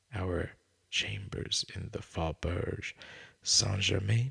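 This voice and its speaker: Very slowly, a man speaks with a calm tone. His tone is also bright and sharp. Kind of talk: ASMR sleep reading of a classic story. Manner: calm, soft, slow.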